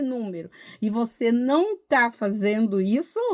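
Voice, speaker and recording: A woman's dark, mellow voice with lively intonation, on a very clean recording over a silent background. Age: 60s. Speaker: tarot reader and numerologist. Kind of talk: casual video monologue. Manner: animated.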